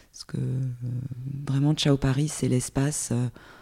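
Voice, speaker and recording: Moving at a moderate pace, a woman speaks with a very deep, low pitch and a dark, mellow tone. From Corsica (Porto-Vecchio). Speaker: journalist and podcaster. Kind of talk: casual interview chat. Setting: in-person at guest's home.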